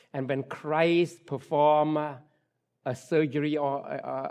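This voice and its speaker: Against a quiet background, a man speaks at a fairly slow pace. His voice is fairly high and flat, with monotone intonation. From Cambodia. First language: Khmer. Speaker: pastor. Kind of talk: sermon. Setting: church. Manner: halting.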